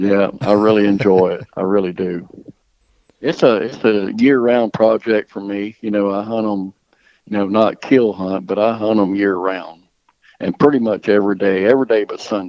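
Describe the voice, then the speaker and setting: In a Mississippi accent, a man speaks with fairly even intonation. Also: fairly low pitch for a man, moderate pace. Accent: Southern US (Mississippi). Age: 60s. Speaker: dog trainer and hunter. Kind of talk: podcast interview. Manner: casual, hesitant with repeated words.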